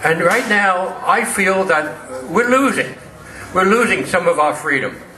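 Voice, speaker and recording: A high-pitched man talks at a moderate pace with lively intonation, with audible room echo and noticeable background noise. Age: 80s+. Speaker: war veteran. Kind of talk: speech at political event. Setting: event with live audience.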